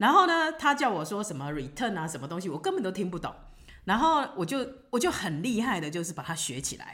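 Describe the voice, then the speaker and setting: At a fairly quick pace, the voice makes very wide pitch swings amid audible room echo. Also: woman, medium pitch for a woman. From Taiwan. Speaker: retired restaurant owner living abroad. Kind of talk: casual interview.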